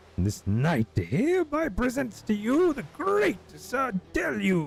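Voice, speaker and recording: In a put-on character voice, a man speaks high-pitched and fairly slowly with a pompous, theatrical tone, while clear background noise runs behind him. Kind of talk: mock-heroic archaic speech. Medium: game stream.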